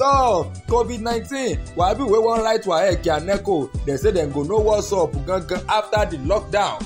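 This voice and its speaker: Music plays in the background. The speaker hardly pauses at all. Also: moderate pace. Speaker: radio news presenter. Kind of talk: humorous radio news roundup. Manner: humorous.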